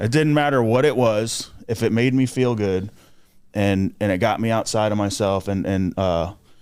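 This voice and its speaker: With an American accent, a man talks at a moderate pace in an ordinary speaking voice, fairly low in pitch with ordinary pitch variation. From South Florida, Port St. Lucie. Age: 30s. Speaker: jail ministry volunteer, recovering addict. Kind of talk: testimony.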